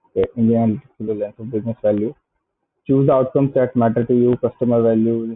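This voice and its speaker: Medium pitch from a man with an Indian accent, in monotone, flat intonation. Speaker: software entrepreneur. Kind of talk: casual product review, reading web pages aloud. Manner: hesitant, many filler sounds.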